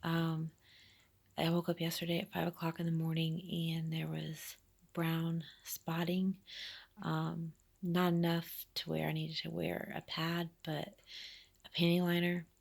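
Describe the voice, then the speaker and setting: A woman talks quietly at a fairly slow pace with long, frequent pauses. Her fairly low voice stays monotone and flat. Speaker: vlogger. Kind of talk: personal vlog. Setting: at home while babysitting. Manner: hesitant, many fillers.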